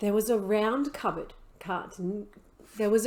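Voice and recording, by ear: Read aloud in a natural voice, the passage keeps a fairly even intonation.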